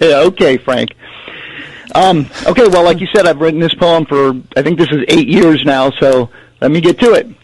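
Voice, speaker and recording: With noticeable background noise, a man of fairly high pitch speaks at a moderate pace, pausing long and often. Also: ordinary pitch variation. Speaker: caller. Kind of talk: reading aloud.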